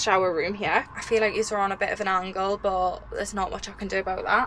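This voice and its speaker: At a fairly quick pace, a woman with a British accent speaks over noticeable background noise. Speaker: vlogger doing a van build tour. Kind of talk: casual vlog tour. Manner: fast.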